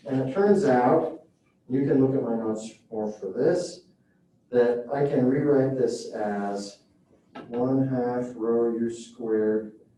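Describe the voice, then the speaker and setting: A man speaks with audible room echo around him. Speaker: professor. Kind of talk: lecture.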